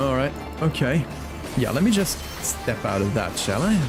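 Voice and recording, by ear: A man at medium pitch and a moderate pace, with big pitch swings and clear music in the background.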